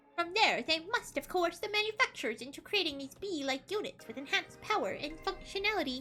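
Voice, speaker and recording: A woman's put-on character voice at an extremely high pitch and a very fast pace, full of very wide pitch swings and big swings in loudness, over clear background music. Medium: game stream. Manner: clinical, matter-of-fact.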